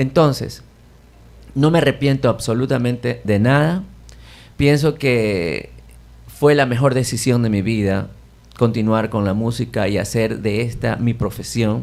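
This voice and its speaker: A man speaks at medium pitch and a fairly slow pace, with ordinary pitch variation and long, frequent pauses, on a very clean recording with a silent background. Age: 60s. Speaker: jazz pianist. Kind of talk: radio interview.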